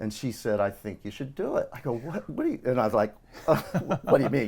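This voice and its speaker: A man at a fairly quick pace. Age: 60s. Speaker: college baseball coach. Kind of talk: interview. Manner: halting.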